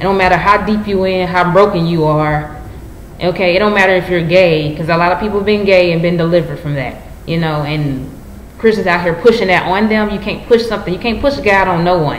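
Amid light background noise and audible room echo, a woman with a fairly low pitch speaks at a very fast pace with ordinary pitch variation. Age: 20s. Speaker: YouTuber. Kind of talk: personal vlog monologue. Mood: earnest, preachy. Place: home room. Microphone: webcam.

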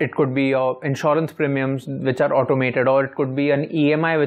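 A man's fairly high voice at a fairly quick pace, in a flat monotone. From India. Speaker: personal finance educator; presenter. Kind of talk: tutorial. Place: home room. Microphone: lapel.

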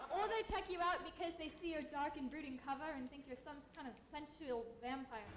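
A woman uses a breathy, put-on character voice at a high pitch and a fairly quick pace. Clear background noise is present. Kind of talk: comic overacting, prim period speech. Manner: breathy, gushing, lovelorn.

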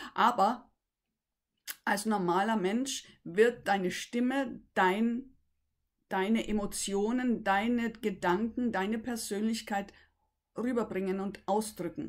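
A woman speaks at a very slow pace, leaving long, frequent pauses. Her pitch is fairly high, and her intonation stays fairly even. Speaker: voice coach. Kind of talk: tutorial. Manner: halting. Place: home room. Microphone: webcam.

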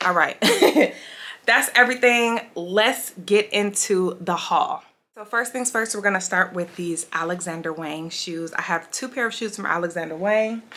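A woman speaks in a bright, sharp tone. Her pace is moderate, with ordinary pitch variation. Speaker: beauty and fashion vlogger; fashion vlogger. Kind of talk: casual haul video monologue. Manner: animated. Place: home room.

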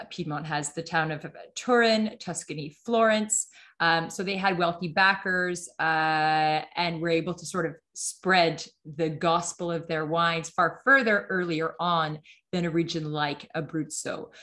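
Over a quiet background, a woman with a fairly low pitch and a bright, sharp tone talks at a fairly slow pace with ordinary pitch variation. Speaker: wine expert presenter. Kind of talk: webinar presentation. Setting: video call. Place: home room. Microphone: video call.

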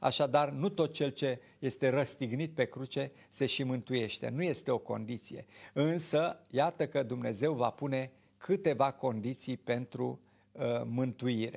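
Fairly slow and marked by vocal fry, the voice shows ordinary pitch variation. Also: man. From Romania. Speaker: Orthodox priest, TV show host. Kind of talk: religious talk show, preaching. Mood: calm, earnest. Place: studio. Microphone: lapel.

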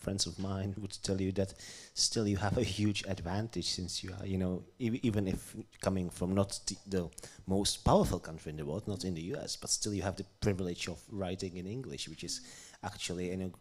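Talking at a fairly quick pace, a man speaks in a low pitch with fairly even intonation.

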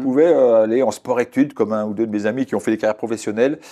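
There is a quiet background behind this man, whose tone is dark and mellow. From Burgundy, France (Beaune); Burgundy, France. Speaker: weather forecaster; interview guest. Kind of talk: interview. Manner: halting. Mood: relaxed, warm storytelling. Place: studio.

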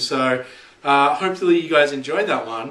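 Against noticeable background noise, a man with an Australian accent speaks in a fairly high voice. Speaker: vlogger. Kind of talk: casual talk to camera.

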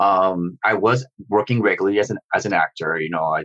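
The speaker has an American accent and lively intonation. The sound is dry and close, with no echo. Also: man. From US Midwest. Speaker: novelist and martial artist. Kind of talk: interview conversation. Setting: video call. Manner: halting, many fillers.

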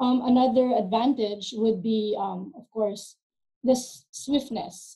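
In a quiet background, a woman with a fairly high pitch speaks at a fairly slow pace, her somewhat breathy voice dark and mellow in tone, with fairly even intonation. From Philippines. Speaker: arbitration lawyer. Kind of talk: webinar panel discussion. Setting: video call. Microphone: video call.

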